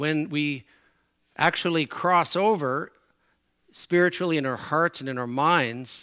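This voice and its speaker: A man's fairly high voice with a bright, sharp tone and ordinary pitch variation, on a very clean recording against a silent background. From Newfoundland, Canada. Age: 60s. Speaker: preacher. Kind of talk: sermon. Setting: church.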